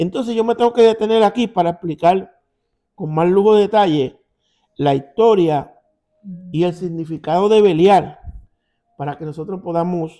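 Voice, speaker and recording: Fairly slow, high-pitched male speech with ordinary pitch variation and music in the background. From Puerto Rico. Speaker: Bible teacher. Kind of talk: Bible study. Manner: conversational.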